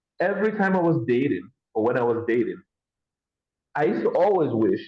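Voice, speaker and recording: A man is speaking. His tone is animated. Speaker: podcast host. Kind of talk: casual interview chat. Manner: loud.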